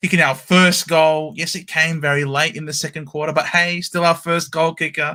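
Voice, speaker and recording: A man with an Australian accent is heard on a very clean recording, the background silent. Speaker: football fan. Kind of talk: casual chat.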